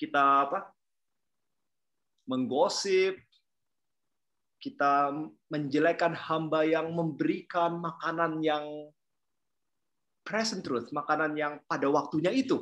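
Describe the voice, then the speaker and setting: The speech comes at a very slow pace. Long pauses break it up often. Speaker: preacher. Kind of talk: sermon. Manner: hesitant, many fillers.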